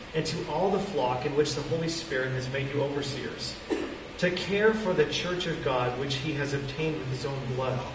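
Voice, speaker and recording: A man is heard with audible room echo. Light background noise sits underneath. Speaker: preacher. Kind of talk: scripture reading then sermon. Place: hall. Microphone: camera far.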